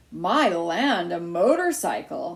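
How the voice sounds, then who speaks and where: In a put-on character voice, a woman speaks with a raspy sound at a medium pitch. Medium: read story. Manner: fretful, disapproving.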